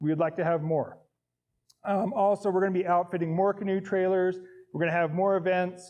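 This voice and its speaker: Speaking very fast with an American accent, a man keeps a flat monotone. His pitch is high for a man. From Indiana, US Midwest. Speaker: scout leader. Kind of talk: presentation to volunteer meeting.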